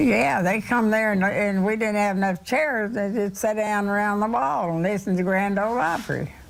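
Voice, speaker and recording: With audible room echo, a woman in a Kentucky accent talks with hardly any pauses, very even loudness and ordinary pitch variation. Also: medium pitch for a woman, moderate pace. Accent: Southern US (Kentucky). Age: 80s+. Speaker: centenarian interviewee. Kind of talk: TV news interview.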